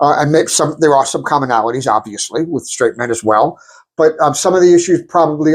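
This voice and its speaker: The speaker is a man with a fairly high voice. His pitch varies in an ordinary way. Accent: New York. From New York. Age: 60s. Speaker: podcast co-host, attorney. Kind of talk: casual chat.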